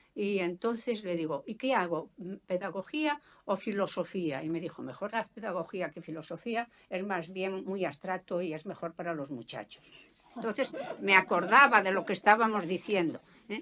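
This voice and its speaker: A woman's medium-pitched voice with a bright, sharp tone, lively intonation and a moderate pace. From Galicia, rural Lugo province. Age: 70s. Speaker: sociologist. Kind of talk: autobiographical talk. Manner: hesitant, many fillers.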